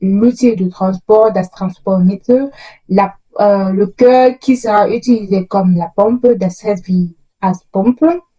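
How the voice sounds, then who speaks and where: Over music in the background, a woman talks at a very slow pace and medium pitch, with ordinary pitch variation. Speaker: educational youtuber. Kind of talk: tutorial. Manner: halting.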